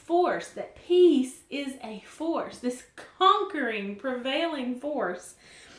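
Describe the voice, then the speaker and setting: A woman with a Southern US accent speaks very slowly in a high voice, her pitch swinging very widely and her loudness rising and falling sharply. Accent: southern drawl. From US South. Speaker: Bible teacher. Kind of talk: devotional Bible teaching. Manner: casual, conversational.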